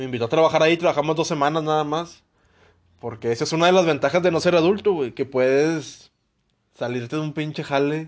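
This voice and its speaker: Over a quiet background, a man speaks fairly quickly with fairly even intonation in a normal speaking voice. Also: fairly high pitch for a man. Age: 20s. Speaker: podcast co-host. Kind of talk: casual chat.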